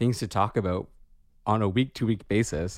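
This man has a plain, everyday voice, pitched fairly low, moving at a fairly quick pace with ordinary pitch variation. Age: 30s. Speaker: podcast co-host, therapist. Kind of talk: casual chat. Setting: remote recording.

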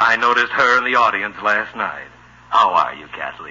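A man puts on a character voice with a bright, sharp tone, a slightly husky edge and fairly low pitch. His intonation is lively and his pace moderate.

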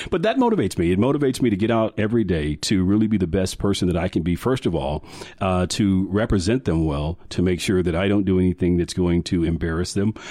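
A man talks at a very fast pace with hardly any pauses. His pitch is very deep and low, his tone dark and mellow. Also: ordinary pitch variation, very even loudness. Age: 40s. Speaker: communications firm owner. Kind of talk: casual interview.

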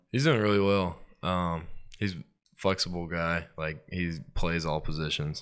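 A man with a Mississippi accent, a very deep, low pitch, fairly even intonation, and a fairly slow pace. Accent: US South, Mississippi. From Starkville, Mississippi. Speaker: college football player. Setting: studio. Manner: polite, short answers.

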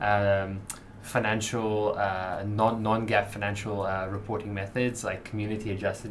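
The voice is delivered in a flat monotone over noticeable background noise. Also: man. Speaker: business editor, podcast co-host. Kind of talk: casual chat.

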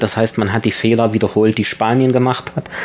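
A man speaks at medium pitch with fairly even intonation. Noticeable background noise sits under his voice. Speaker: tour guide and university lecturer. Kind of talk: radio interview.

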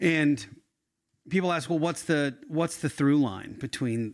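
On a very clean recording with a silent background, a man with a plain, everyday voice talks at a moderate pace with ordinary pitch variation. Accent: American. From Philadelphia area. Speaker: podcast host. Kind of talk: interview. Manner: casual.

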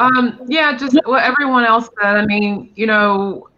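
Speaking at a fairly slow pace with an American accent, a man uses a raised, projected voice and ordinary pitch variation. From North Carolina. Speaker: drag performer. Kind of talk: casual chat.

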